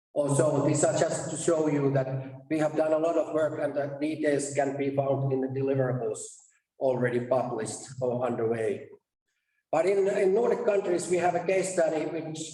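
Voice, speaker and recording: Room echo is audible as a man with a fairly high pitch speaks at a moderate pace with ordinary pitch variation. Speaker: conference presenter, research task leader. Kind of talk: conference presentation. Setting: stage at a conference.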